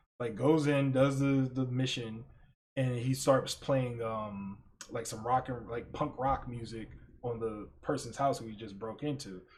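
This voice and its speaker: A man speaks at a fairly slow pace. His medium-pitched voice sounds somewhat breathy. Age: 30s. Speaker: podcast host. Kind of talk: casual chat. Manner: animated; rambling with many fillers.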